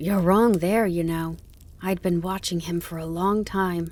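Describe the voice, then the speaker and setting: A female-sounding voice puts on a character voice with a fairly low pitch, delivered at a moderate pace. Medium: read story. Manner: excitable, fretful.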